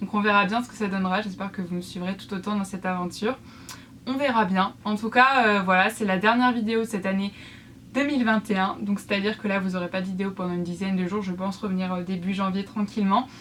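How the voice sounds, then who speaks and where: At a very fast pace, a woman speaks at a medium pitch with fairly even intonation. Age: 20s. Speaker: YouTuber and student crafter. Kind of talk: casual vlog talk to viewers. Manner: hesitant, many fillers.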